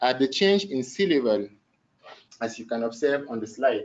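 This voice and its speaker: Using lively intonation, a man with a medium pitch talks at a moderate pace. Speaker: PhD candidate. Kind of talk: thesis defense presentation. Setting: academic defense before a jury. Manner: halting, with self-corrections.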